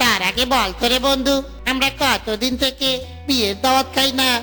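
A cartoonish character voice with a high pitch talks at a moderate pace. Music is clearly audible in the background. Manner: jolly, joking.

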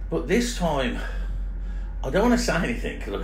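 A man is speaking with music in the background. Room echo is audible. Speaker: motorcycle travel vlogger. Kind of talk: casual vlog chat. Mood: annoyed, complaining. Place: boat. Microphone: phone near.

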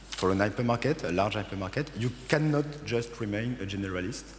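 A man speaks at a fairly quick pace in a French accent. His intonation is lively, over light background noise. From France. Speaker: business consultant. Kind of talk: conference presentation. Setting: stage with audience. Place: stage. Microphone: headset.

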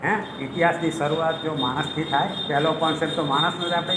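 Room echo can be heard in the clip. There is noticeable background noise as well. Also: man. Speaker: retired history professor. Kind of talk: lecture. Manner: animated.

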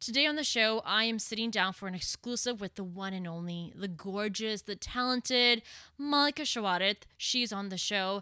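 A woman speaks in a bright, sharp tone at a moderate pace with ordinary pitch variation. The background is quiet and the sound is dry, with no echo. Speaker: podcast host. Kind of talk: podcast intro monologue. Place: home room. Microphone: studio mic.

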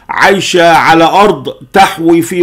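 A man speaks over a quiet background. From Egypt. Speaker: political commentator. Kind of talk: political monologue. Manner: animated. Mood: angry, critical. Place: home room.

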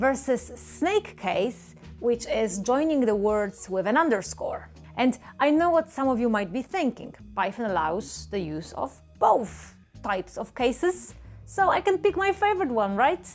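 Faint music plays in the background as a woman talks at a fairly slow pace. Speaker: programming educator. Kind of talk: tutorial. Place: home room. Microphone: lapel.

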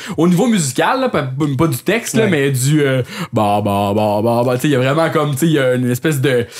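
Medium-pitched speech from a man at very even loudness, over noticeable background noise. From Quebec, L'Assomption. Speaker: podcast host. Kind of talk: casual chat.

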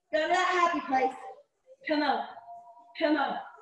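At a fairly slow pace, the speaker uses lively intonation with an American accent, and audible room echo is present. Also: woman. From US South. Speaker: fitness instructor. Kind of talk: live online group fitness class, coaching with timed cues. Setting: video call, live streamed workout at home. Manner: warm, chatty, and laughs often. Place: home room. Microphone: camera far.

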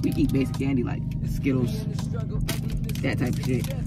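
A woman's voice, dry with no echo, over clear music in the background. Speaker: vlogger. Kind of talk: casual vlog chat. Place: car.

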